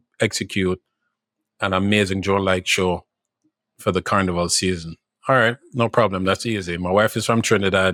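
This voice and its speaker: A man with a Jamaican accent speaks in a flat monotone at a fairly low pitch and a moderate pace. The recording is very clean with a silent background, and the sound is dry and close with no echo. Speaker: drone show company executive. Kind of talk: podcast interview. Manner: halting, repeats words.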